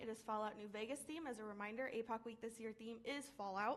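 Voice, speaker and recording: Her voice fairly high, the woman rushes along at a very fast pace. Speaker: student organization representative. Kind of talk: meeting report. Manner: animated.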